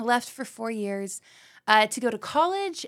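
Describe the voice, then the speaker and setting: A woman with an East Tennessee accent speaks with lively intonation in a very clean recording with a silent background. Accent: East Tennessee Southern US. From Knoxville, Tennessee. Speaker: middle school ministry leader. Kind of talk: casual chat.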